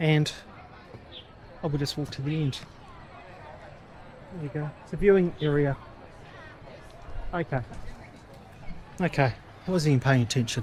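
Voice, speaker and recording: Crowd noise fills the background as a man with an Australian accent talks at a moderate pace and a fairly high pitch, with ordinary pitch variation and long, frequent pauses. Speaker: travel vlogger. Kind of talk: walking tour vlog. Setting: outdoors. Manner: casual, halting with fillers.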